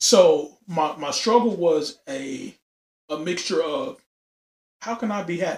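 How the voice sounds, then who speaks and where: Speaking at a fairly slow pace with long, frequent pauses, a man uses a high pitch and lively intonation. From Louisiana. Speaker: podcast host, military veteran. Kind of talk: casual chat.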